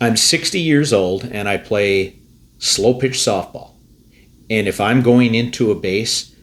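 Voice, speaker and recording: With an ordinary speaking voice, a man talks at a fairly slow pace and medium pitch, with ordinary pitch variation. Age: 60s. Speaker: fantasy football podcast host. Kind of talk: casual sports chat.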